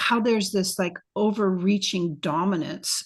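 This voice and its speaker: Fairly slow delivery in an ordinary speaking voice, pitch varying in an ordinary way. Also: woman. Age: 60s. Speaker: retreat facilitator and podcaster. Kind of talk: interview. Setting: video call.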